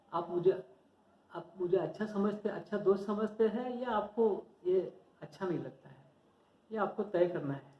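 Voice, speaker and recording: A high-pitched man's voice in a Marathi accent, with ordinary pitch variation and long, frequent pauses. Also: big swings in loudness. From Maharashtra, India. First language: Marathi (speaking Hindi). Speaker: stock market educator, YouTuber. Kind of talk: informal tutorial talk to viewers. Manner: halting, self-correcting.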